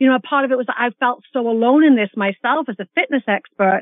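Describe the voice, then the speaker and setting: Lively in intonation, a woman speaks at a fairly quick pace in an ordinary speaking voice. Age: 50s. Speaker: fitness expert and author. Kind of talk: interview.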